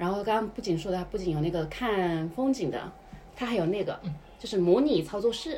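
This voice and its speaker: A woman with a Hunan accent speaks fairly quickly at a medium pitch, her tone animated and her intonation lively. The room echoes audibly, and background noise is noticeable. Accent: Hunan-accented Mandarin. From China, Hunan. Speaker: podcast co-host. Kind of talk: casual chat. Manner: animated, laughing often.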